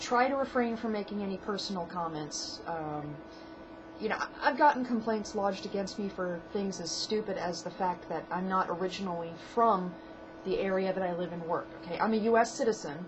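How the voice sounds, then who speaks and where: A woman speaks at a medium pitch with lively intonation. Noticeable background noise runs underneath. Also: fairly quick pace. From New England (Maine). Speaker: hotel clerk. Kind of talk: casual advice vlog. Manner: casual, with many fillers.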